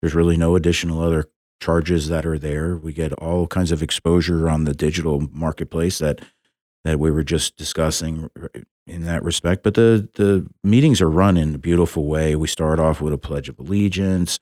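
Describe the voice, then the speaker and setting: The voice has a dark, mellow tone and fairly even intonation at a fairly quick pace. The recording is very clean, with a silent background and a dry, close sound with no echo. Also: man, very deep, low pitch for a man. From southeast Florida. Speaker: business owner. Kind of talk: casual chat. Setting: studio.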